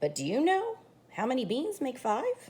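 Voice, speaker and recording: A put-on character voice moves along at a moderate pace. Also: woman. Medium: read story.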